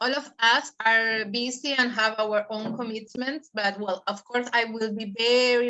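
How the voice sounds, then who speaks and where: A woman with a non-native accent speaks fairly slowly in a fairly high pitch, her intonation monotone and flat. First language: not English. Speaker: network member, speaker. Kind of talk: casual group chat.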